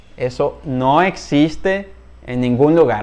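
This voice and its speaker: Speaking at a very slow pace, a man uses lively intonation and a fairly high pitch. He talks with a Spanish accent. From Venezuela. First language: Spanish (speaking Portuguese). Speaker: Spanish teacher. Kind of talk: online language lesson.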